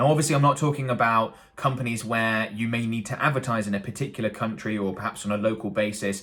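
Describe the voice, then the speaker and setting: With a British accent, the speaker talks at a very fast pace with ordinary pitch variation. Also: man. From UK. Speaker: marketing agency owner and YouTube educator. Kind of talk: tutorial. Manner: casual, hesitant with fillers.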